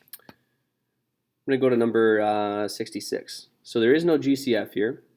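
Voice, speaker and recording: A man speaks at a medium pitch. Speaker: math teacher. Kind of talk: tutorial.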